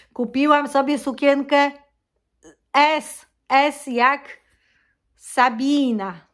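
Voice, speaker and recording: Against a quiet background, a woman talks at a very slow pace in a high voice with fairly even intonation and long, frequent pauses. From Poland. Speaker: vlogger. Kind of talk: casual vlog monologue. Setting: at home. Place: home room. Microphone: phone near.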